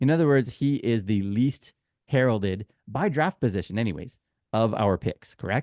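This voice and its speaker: With a Canadian accent, a man uses a normal speaking voice at medium pitch and a moderate pace, with lively intonation, very even loudness, and a dry, close sound with no echo. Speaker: podcast host. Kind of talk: casual chat.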